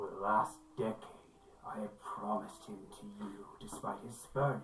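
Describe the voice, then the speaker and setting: A woman uses a put-on character voice with a very deep, low pitch. She speaks at a moderate pace over clear background noise. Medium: actual play.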